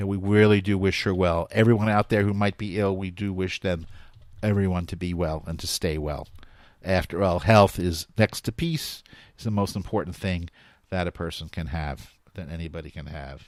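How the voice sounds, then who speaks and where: Heard in a very clean recording with a silent background, a man with a New York accent speaks at a moderate pace in a very deep, low pitch with ordinary pitch variation. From New York, US. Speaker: talk radio host. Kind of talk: live talk radio show.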